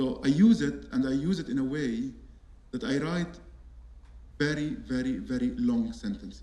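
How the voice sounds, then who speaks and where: A man with an Arabic accent speaks at a moderate pace with long, frequent pauses. Audible room echo fills the recording. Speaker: artist and architect. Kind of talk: panel talk. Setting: auditorium with audience. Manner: halting.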